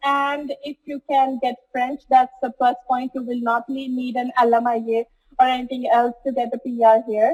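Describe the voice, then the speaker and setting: In a dry, close recording with no echo, a woman speaks at a high pitch and moderate pace with monotone, flat intonation. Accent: Punjabi. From Punjab, India. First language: Punjabi. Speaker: student. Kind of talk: interview.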